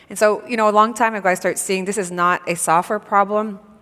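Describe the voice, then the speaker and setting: Her intonation monotone and flat, a woman with a slight Quebec accent speaks at a very fast pace. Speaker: tech company founder and CEO. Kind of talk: panel interview at a conference. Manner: hesitant, many fillers.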